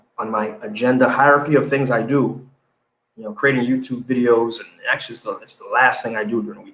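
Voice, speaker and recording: With a Haitian accent, the speaker talks at a very fast pace with fairly even intonation. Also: man. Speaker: business news show host and entrepreneur. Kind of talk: live show commentary. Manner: halting, many repetitions.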